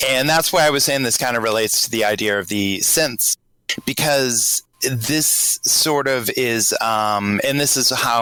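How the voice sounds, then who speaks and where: Speaking at a fairly slow pace, a man with a slight Boston accent shows ordinary pitch variation. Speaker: patron on podcast chat. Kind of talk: casual group chat. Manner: halting, many fillers.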